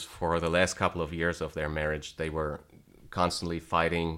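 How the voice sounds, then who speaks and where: A man speaks with a German accent, his pitch very deep and low and his tone bright and sharp. The recording is very clean, with a silent background. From Germany, small town. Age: 30s. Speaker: guitar teacher. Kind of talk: interview. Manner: halting.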